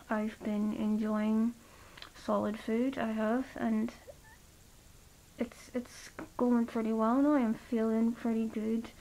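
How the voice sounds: A woman speaks fairly slowly at a fairly high pitch. Her tone is dark and mellow, with vocal fry.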